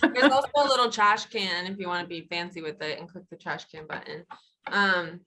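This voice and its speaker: A woman with a medium-pitched, bright and sharp voice speaks fairly quickly, using lively intonation and big swings in loudness. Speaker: workshop presenter. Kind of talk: tutorial.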